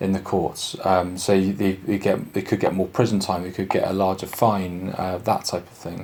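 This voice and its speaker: Speaking with a Bristolian accent at a moderate pace, a man keeps a monotone, flat intonation in a very deep, low pitch. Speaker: police sergeant. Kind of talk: public information talk. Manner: halting, many fillers.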